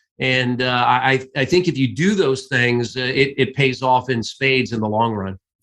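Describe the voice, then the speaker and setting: A man with a Midwestern US accent speaks at a medium pitch. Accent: US Midwest. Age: 60s. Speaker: sports play-by-play announcer. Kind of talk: interview.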